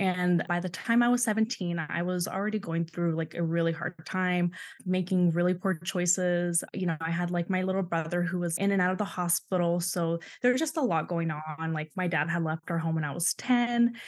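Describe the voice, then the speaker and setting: A woman with a plain, everyday voice speaks at a moderate pace and a fairly low pitch, with fairly even intonation against a quiet background. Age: 20s. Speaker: guest sharing church abuse story. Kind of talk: casual interview, personal testimony.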